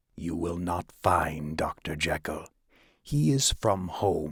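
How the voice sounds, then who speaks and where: Putting on a character voice, a man speaks with a very deep, low pitch and a husky sound. His pace is fairly slow. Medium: read story. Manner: curt, defiant.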